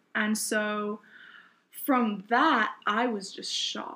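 A woman's fairly high-pitched voice comes through on a very clean recording with a silent background. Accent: British. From southeast England, Kent. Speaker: bible college student, nonprofit founder. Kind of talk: testimony.

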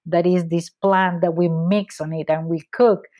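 A woman's medium-pitched voice with a Spanish accent at a fairly slow pace against a quiet background. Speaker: food blogger and author. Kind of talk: casual chat. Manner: laughs often.

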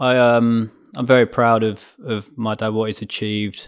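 On a very clean recording with a silent background, the speaker uses a southern English accent at a moderate pace with ordinary pitch variation. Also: man. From southern England (Surrey/Berkshire, near Ascot). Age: 30s. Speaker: entrepreneur. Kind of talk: interview. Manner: hesitant, many fillers.

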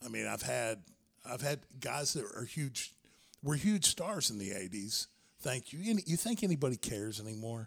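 At a moderate pace, this voice makes very wide pitch swings. It sounds somewhat breathy. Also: man, medium pitch for a man. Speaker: former pro wrestler and comedian. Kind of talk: casual chat.

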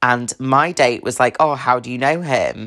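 A woman speaks in a southern English accent at a fairly slow pace. Her pitch is very deep and low. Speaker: podcast host. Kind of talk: casual chat.

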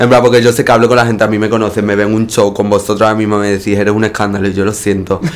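Over noticeable background noise, a man with a fairly low pitch talks very fast in an animated tone, with hardly any pauses. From Spain, Extremadura (Cáceres). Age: 20s. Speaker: actress and drag performer. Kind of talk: casual chat.

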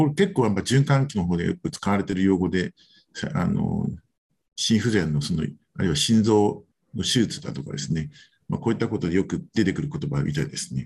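A man speaks at a fairly quick pace in a fairly low voice that is somewhat breathy. His pitch swings very widely. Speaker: physician. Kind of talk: lecture. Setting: video call. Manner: halting.

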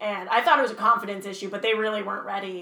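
The recording has audible room echo. A woman speaks with a fairly high pitch. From Canada, Kingston, Ontario. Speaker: actor and writer. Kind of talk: casual interview chat. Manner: animated, laughing often.

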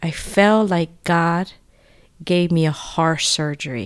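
In a very clean recording with a silent background, a voice with a Spanish accent speaks at a very slow pace in a flat, monotone intonation. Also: woman. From Nicaragua. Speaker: parish outreach coordinator, former nun. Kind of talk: faith testimony interview.

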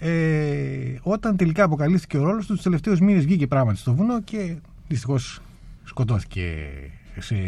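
This man's dark, mellow tone is somewhat breathy and moves through very wide pitch swings. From Crete, Heraklion. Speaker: lawyer, human rights organisation president. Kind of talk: radio interview.

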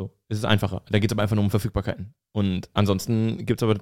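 A man with a fairly low pitch talks at a very fast pace, recorded very cleanly against a silent background with a dry, close sound and no echo. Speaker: comedian and social media creator, former radio host. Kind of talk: casual chat.

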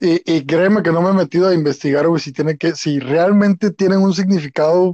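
A man's high voice with a dark, mellow tone, fairly even intonation and a fairly quick pace, in a dry, close sound with no echo. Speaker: podcast co-host. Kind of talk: casual chat.

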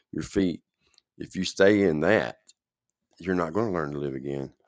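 A man speaks in a very deep, low voice with ordinary pitch variation. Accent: Tennessee. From middle Tennessee. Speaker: podcast host. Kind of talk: casual chat. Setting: live online show.

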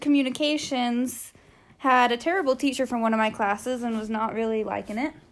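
This woman has a high pitch. She talks at a fairly quick pace. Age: 20s. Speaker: college student. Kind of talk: casual chat.

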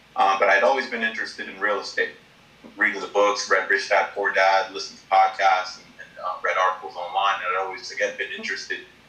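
A man with an American accent speaks fairly quickly while noticeable background noise carries on behind him. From New York, Long Island. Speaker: real estate investor. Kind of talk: casual interview.

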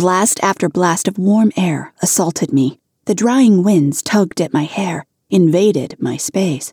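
Quiet background behind a natural reading voice.

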